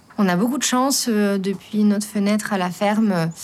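A woman talks at a fairly slow pace with ordinary pitch variation, noticeable noise present in the background. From Lorraine, France. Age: young. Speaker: farmer. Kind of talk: interview.

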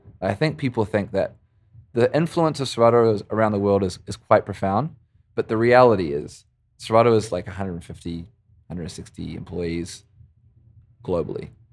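On a very clean recording with a silent background, a man with a fairly low pitch talks at a fairly quick pace with lively intonation, big swings in loudness and long, frequent pauses. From New Zealand (Christchurch). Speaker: DJ and music software company rep. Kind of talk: casual interview. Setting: studio at company office.

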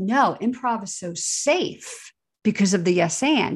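Somewhat breathy and fairly high, a woman's voice carries lively intonation and an American accent. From New Jersey, near New York City. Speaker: improv therapist and researcher. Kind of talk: interview. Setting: video call.

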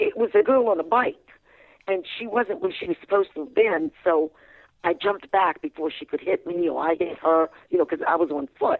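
The speaker has a Virginia accent. The intonation is lively. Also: woman, medium pitch for a woman. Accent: Virginia Southern American. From US South, Fredericksburg, Virginia. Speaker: limousine driver and author. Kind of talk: radio interview, storytelling.

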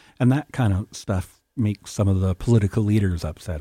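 A man talks fairly quickly at a fairly low pitch, with ordinary pitch variation and a dark, mellow tone. His voice is somewhat breathy, and the sound is dry and close with no echo. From Canadian West Coast, First Nation between Vancouver Island and mainland. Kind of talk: radio interview. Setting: radio studio.

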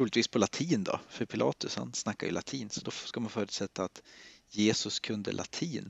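Using vocal fry, a man speaks at a moderate pace with a fairly low pitch. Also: lively intonation. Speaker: priest. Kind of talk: casual chat about bible texts.

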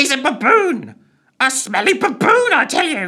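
In a put-on character voice, the speaker goes high and shrill at a moderate pace, the pitch swinging very widely. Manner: shrill, insulting exclamation.

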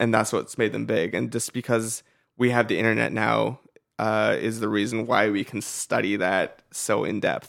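A man speaks at a moderate pace with an American accent, and the recording is very clean with a silent background. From US West Coast. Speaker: internet video creator. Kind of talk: interview conversation. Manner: halting, repeats words.

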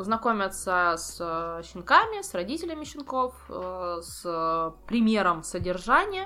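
A bright, sharp tone with lively intonation. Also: woman. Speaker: ferret breeder. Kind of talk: casual chat.

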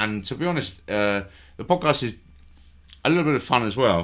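Lively intonation runs through this man's speech. He keeps a moderate pace. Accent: London. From London. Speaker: podcast host. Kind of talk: casual chat. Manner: halting.

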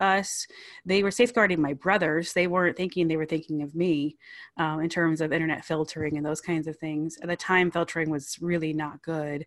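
An ordinary speaking voice with ordinary pitch variation moves at a moderate pace over a quiet background. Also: woman. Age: 30s. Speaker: ministry founder. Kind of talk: interview testimony.

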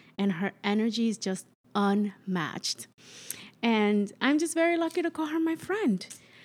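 In a warm, upbeat tone with a slight Dominican accent, a woman speaks at a fairly slow pace with very wide pitch swings. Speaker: friend filling in as host.

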